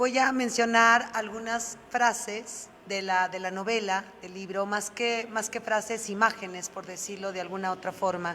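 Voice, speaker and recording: With noticeable background noise, a woman at a fairly high pitch speaks at a fairly slow pace with hardly any pauses and fairly even intonation. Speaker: interviewer / host of a book talk. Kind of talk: interview question, reading book excerpts.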